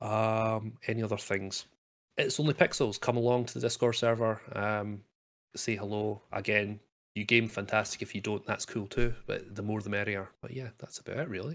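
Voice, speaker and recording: On a very clean recording with a silent background, a man speaks at a fairly low pitch and moderate pace with fairly even intonation. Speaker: video game streamer. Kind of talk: casual interview.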